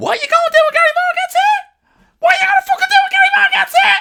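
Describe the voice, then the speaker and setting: Putting on a character voice, a man speaks very fast in a squeaky, extremely high pitch. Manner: taunting.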